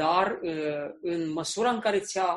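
The man's voice is high-pitched. Its pitch variation is ordinary. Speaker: interpreter. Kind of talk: sermon. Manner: halting.

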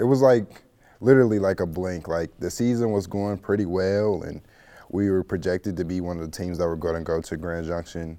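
With an American accent, a man speaks in a dark, mellow tone at a very deep, low pitch. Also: ordinary pitch variation, very clean recording, silent background. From Missouri, St. Louis. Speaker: college baseball player. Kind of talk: casual interview.

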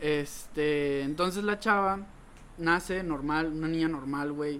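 Fairly high for a man, this plain, everyday voice keeps a fairly even intonation. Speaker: podcast co-host. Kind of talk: casual chat.

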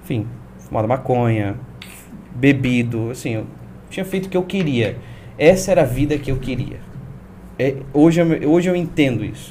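Somewhat breathy with a dark, mellow tone, a man with a fairly high pitch speaks at a fairly quick pace, with ordinary pitch variation and audible room echo. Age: 20s. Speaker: pastor. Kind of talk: testimony.

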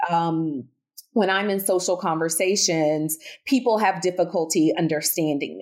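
A woman at a moderate pace, with a slight Southern US accent. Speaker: speech-language pathologist and researcher. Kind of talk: interview conversation about research and clinical practice.

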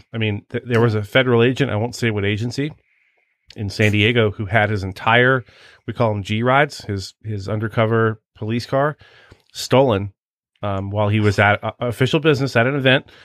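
An unremarkable speaking voice: a man with an American accent, medium pitch, fairly even intonation, and a fairly quick pace. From Washington DC area. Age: 50s. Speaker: podcast host, former federal agent. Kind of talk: casual interview chat.

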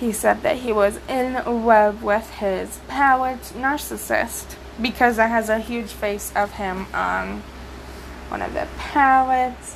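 A woman speaks at a very slow pace with an American accent. Noticeable background noise runs behind her. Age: young. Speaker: podcaster and YouTuber. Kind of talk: solo commentary podcast. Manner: hesitant, with many fillers and repetitions.

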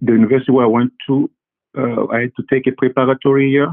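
With a French accent, a man talks at a moderate pace and a medium pitch. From Congo, Central Africa. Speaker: physician. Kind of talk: interview. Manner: halting, many fillers and repetitions.

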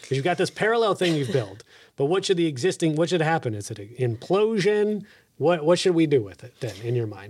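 On a very clean recording with a silent background, a man with a Texan accent talks at a fairly quick pace and fairly high pitch, with very wide pitch swings and big swings in loudness. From Texas. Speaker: podcast host. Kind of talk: podcast interview.

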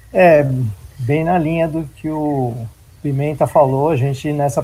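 The man's tone is dark and mellow, and somewhat breathy. He talks at a fairly slow pace with ordinary pitch variation. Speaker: IT manager. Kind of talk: panel discussion.

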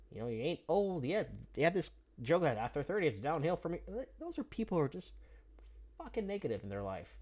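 This man speaks very fast in a fairly high voice with vocal fry. His pitch swings very widely. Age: 30s. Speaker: podcast host and jiu-jitsu hobbyist. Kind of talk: casual motivational monologue. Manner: animated.

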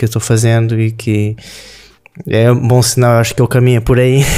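Over music in the background, a man talks in a monotone, flat intonation. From southern Brazil, Rio Grande do Sul. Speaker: sushi chef. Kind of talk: interview conversation.

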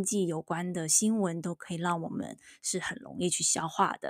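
Recorded very cleanly against a silent background, a woman speaks at a moderate pace and medium pitch. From Taiwan. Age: middle-aged. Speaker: podcast host, university professor. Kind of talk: casual chat. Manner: halting, many fillers.

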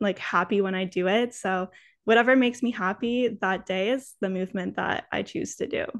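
With a normal speaking voice, a woman of medium pitch talks at a fairly quick pace with fairly even intonation against a quiet background. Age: 20s. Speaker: wellness content creator. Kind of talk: casual chat.

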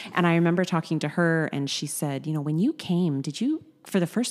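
In a normal speaking voice, a woman with a Canadian accent talks at a fairly quick pace and a fairly low pitch. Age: 40s. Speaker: gym member. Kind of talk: interview. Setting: studio.

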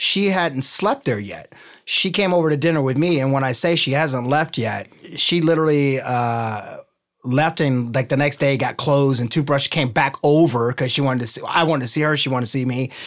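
With an American accent, a man speaks at a fairly quick pace. His pitch is fairly high, with ordinary variation. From Cincinnati, Ohio, US Midwest. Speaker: personal trainer and entrepreneur. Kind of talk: interview. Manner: animated.

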